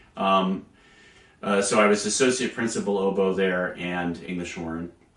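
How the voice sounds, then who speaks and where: Noticeable background noise sits under a man's very deep, low pitch. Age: 60s. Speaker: orchestral English horn player. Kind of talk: interview. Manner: hesitant, many fillers.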